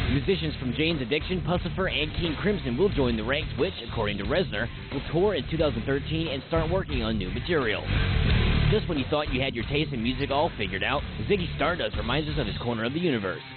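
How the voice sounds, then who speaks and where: A man talks at a very fast pace. Clear music plays behind him, and the sound is dry with no echo. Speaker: radio DJ; soldier. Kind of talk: music news read. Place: studio.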